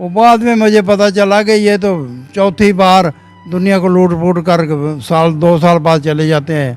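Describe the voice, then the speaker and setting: Music plays in the background as a man speaks. His pitch is high, with ordinary variation. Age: 80s+. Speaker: old age home resident. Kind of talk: interview testimony. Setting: old age home.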